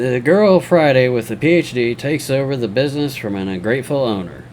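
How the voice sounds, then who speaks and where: A man speaks at a moderate pace and a medium pitch with lively intonation. Noticeable background noise runs behind him. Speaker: story narrator. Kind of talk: reddit story reading with commentary.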